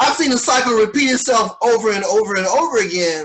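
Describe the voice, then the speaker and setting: This man speaks at a high pitch. His tone is bright and sharp. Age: 60s. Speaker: pastor and podcast host. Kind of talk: interview.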